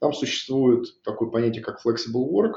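The man has an unremarkable speaking voice at medium pitch, and his intonation stays fairly even. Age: 40s. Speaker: IT division head. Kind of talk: corporate interview.

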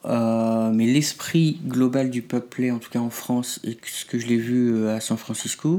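A man with a medium pitch and a dark, mellow tone speaks very slowly. His intonation stays fairly even. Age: 30s. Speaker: pup play practitioner. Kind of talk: interview.

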